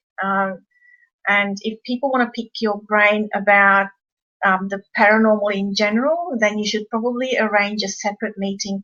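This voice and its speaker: With an Australian accent, a woman speaks at a moderate pace in a bright, sharp, medium-pitched voice with fairly even intonation. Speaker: paranormal investigator co-presenting a webinar. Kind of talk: webinar presentation.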